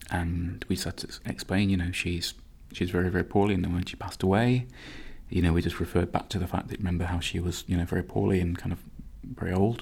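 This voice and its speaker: Somewhat breathy speech in a Nottingham accent comes at a very fast pace with ordinary pitch variation. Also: man, very deep, low pitch for a man. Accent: Nottingham East Midlands English. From Nottingham, England. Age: 30s. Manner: reflective, hesitant with repeats.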